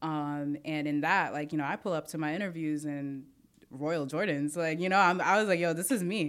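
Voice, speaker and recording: On a very clean recording with a silent background, a woman with a New York accent speaks at a very deep, low pitch and moderate pace with fairly even intonation. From Brooklyn, New York. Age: 20s. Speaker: mixed martial arts fighter and industry professional. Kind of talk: casual chat.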